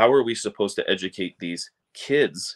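The background stays quiet while a man talks. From Wisconsin. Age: 30s. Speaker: college football reporter. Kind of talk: casual sports talk. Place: home room. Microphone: webcam.

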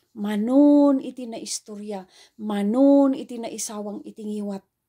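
A woman's dark, mellow, somewhat breathy voice at a moderate pace, with ordinary pitch variation and a quiet background. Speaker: preacher. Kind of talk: sermon. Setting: online video. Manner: formal; earnest. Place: home room. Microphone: phone near.

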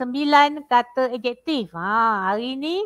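Over a quiet background, a woman's high-pitched voice comes through with a dry sound and no echo. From Malaysia, Pahang; Malaysia. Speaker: primary school teacher. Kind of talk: lecture. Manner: animated. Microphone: headset.

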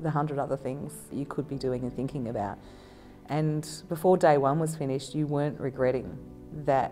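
A woman speaks at a moderate pace in a very deep, low pitch while clear music plays in the background. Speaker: council manager. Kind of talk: interview answer. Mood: enthusiastic, positive. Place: street.

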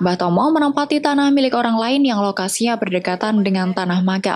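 This woman has a plain, everyday voice and talks at a fairly quick pace. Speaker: news reporter. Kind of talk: scripted news narration.

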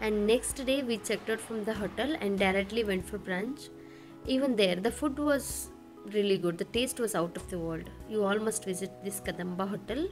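Ordinary pitch variation marks the voice, with music playing in the background. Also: woman, moderate pace. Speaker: travel vlogger narrator. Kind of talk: travel vlog narration.

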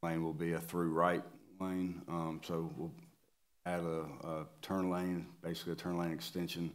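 Very deep and low in pitch, a man speaks in a monotone, flat intonation, leaving long, frequent pauses. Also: quiet background. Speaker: presenter. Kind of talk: meeting presentation. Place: meeting room. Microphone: podium.

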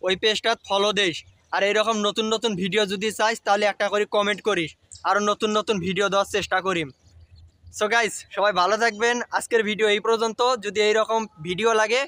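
A man with a high pitch and a bright, sharp tone projects his raised voice in monotone, flat intonation at very even loudness, in a dry, close sound with no echo. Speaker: social media content creator. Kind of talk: dialect demonstration. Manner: casual, playful.

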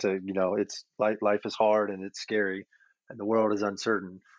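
A man with a fairly low pitch talks in an unremarkable speaking voice. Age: 40s. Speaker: certified financial planner. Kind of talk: casual interview. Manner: repetitive restarts, filler words.

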